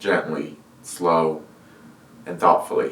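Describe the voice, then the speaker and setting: The voice is quiet and moves at a very slow pace. Audible room echo and noticeable background noise come through. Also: man. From California. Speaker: video artist. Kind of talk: personal monologue to camera. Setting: room, filmed without external microphone. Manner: monotone; slow, quiet. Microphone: camera's built-in microphone.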